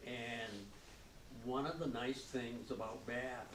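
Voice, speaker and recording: A man speaks at a medium pitch. Audible room echo and noticeable background noise surround him. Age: 80s+. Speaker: local business owner. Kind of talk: public interview before audience. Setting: library event with audience.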